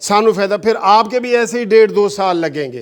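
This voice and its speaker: This man speaks with a high pitch. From Pakistan. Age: 60s. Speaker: lawyer and party chairman. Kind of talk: political commentary video. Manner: animated.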